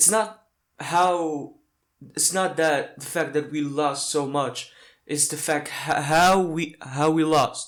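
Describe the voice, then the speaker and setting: Very slow in pace, a man with a non-native accent talks at a fairly high pitch with fairly even intonation. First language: not English. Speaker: football fan reactor. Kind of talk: reaction video. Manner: halting.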